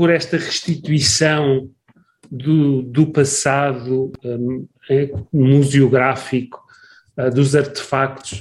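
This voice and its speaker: A somewhat breathy man's voice at a very slow pace. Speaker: podcast host, academic. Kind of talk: interview conversation.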